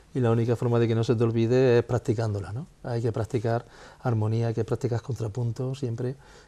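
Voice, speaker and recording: With a dark, mellow tone that is somewhat breathy, a man talks at a fairly quick pace in a monotone, flat intonation. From Spain, Jaén (Andalusia). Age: 50s. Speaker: musician. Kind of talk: interview. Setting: home living room.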